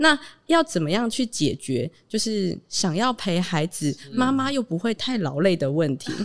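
A woman at medium pitch, fairly slow, with very wide pitch swings on a very clean recording against a silent background. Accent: Taiwanese. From Taitung, Taiwan. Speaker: founder of a parent-child community space. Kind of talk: casual interview.

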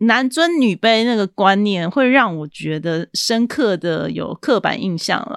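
A woman's voice with very wide pitch swings and hardly any pauses, at a fairly slow pace, in a very clean recording with a silent background and a dry, close sound with no echo. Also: medium pitch for a woman. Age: 40s. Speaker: podcast host, book reviewer. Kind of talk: solo podcast monologue, book review.

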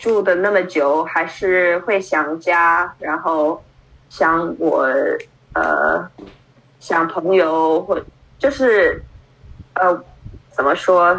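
Speaking at a very slow pace with long, frequent pauses, a woman uses a fairly low pitch, ordinary pitch variation and very even loudness. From Brooklyn, New York, US. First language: English (speaking Chinese). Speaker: Chinese learner, adoptee. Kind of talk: interview. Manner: halting, many fillers.

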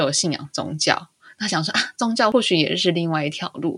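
Lively intonation from a woman with an unremarkable speaking voice, at a moderate pace. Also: very clean recording, silent background. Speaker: podcast co-host, mother. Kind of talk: casual chat.

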